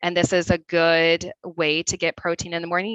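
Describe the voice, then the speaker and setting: A woman with a Midwestern accent speaks at a moderate pace and fairly low pitch, her tone bright and sharp, the sound dry and close with no echo. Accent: Midwest. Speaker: registered dietitian. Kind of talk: webinar presentation.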